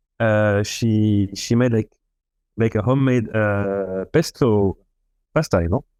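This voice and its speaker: A dark, mellow tone on a very clean recording with a silent background and a dry, close sound with no echo. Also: man. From France. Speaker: musician. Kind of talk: interview.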